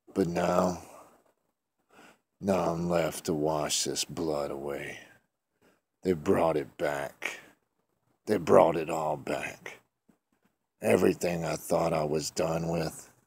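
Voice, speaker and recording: Using a put-on character voice, a man talks at a very slow pace in a raspy, very deep, low pitch, with long, frequent pauses. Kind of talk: horror story narration. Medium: read story.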